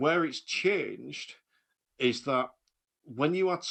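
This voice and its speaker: An animated male voice with lively intonation. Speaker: driving instructor. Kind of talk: casual chat. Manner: animated, ranty.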